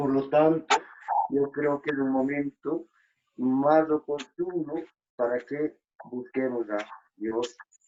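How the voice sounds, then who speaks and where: A man with a fairly high pitch talks at a very slow pace, his intonation fairly even. He leaves long, frequent pauses. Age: 60s. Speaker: migrant rights activist. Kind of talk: interview.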